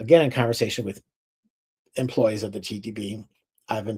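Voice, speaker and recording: A male voice of medium pitch, somewhat breathy, with a dark, mellow tone and ordinary pitch variation. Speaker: distiller. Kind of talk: lecture. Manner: fast.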